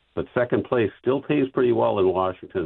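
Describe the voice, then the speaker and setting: Very fast speech from a man with a Wisconsin accent and ordinary pitch variation. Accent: Wisconsin Upper Midwest. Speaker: caller. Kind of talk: casual talk radio call. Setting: phone call.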